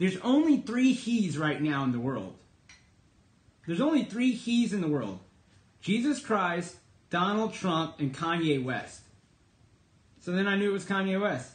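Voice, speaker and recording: In an American accent and at a moderate pace, the speaker uses very wide pitch swings and long, frequent pauses, with audible room echo around the voice. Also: man, high pitch for a man. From Texas. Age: 30s. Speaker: political commentator and livestreamer. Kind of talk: casual livestream monologue. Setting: live stream broadcast. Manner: conversational, with many fillers.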